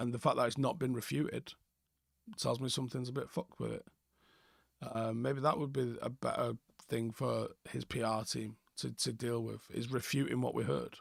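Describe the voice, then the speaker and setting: A man puts on a raspy character voice at medium pitch, speaking at a moderate pace with long, frequent pauses. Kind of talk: casual, blunt, swearing.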